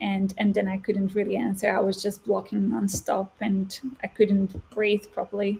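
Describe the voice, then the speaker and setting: Amid noticeable background noise, a woman speaks at a medium pitch in a monotone, flat intonation. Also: moderate pace. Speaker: former stutterer, guest speaker. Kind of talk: interview answer. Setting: interview.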